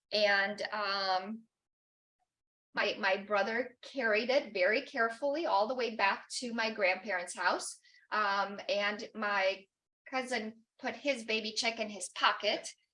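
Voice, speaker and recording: In a Romanian accent, a woman speaks in a bright, sharp tone. Her pitch is fairly high and her intonation fairly even. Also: fairly slow pace. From Romania, Bucharest. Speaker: guest speaker. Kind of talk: personal talk. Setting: church chapel with audience. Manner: halting, many fillers.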